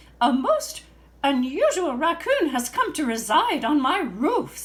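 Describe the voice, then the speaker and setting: In a put-on character voice, a woman speaks at a fairly slow pace in a high pitch with very wide pitch swings. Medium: read story. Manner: formal, stiff.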